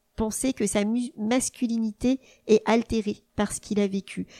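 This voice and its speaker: On a very clean recording with a silent background, a woman speaks in a fairly high pitch with fairly even intonation. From France, Burgundy. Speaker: family lawyer. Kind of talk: interview. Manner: hesitant, frequent fillers.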